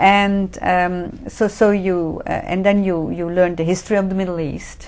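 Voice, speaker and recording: With a Dutch accent, a woman at a medium pitch speaks at a moderate pace in monotone, flat intonation. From Netherlands. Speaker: professor of religion. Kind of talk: interview. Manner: halting.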